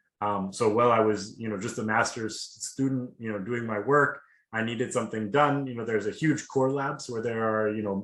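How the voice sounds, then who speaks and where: At a fairly quick pace, a man with a slight Seattle accent speaks with a medium pitch and fairly even intonation. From US Pacific Northwest, Seattle. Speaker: PhD student. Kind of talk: webinar testimony. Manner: casual, many fillers.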